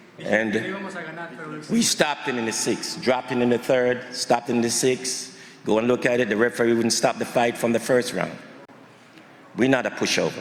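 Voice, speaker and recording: Over noticeable background noise, a man speaks at a moderate pace in a monotone, flat way, with long, frequent pauses. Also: medium pitch for a man. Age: 70s. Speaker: boxing trainer and father of fighter. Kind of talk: press conference speech.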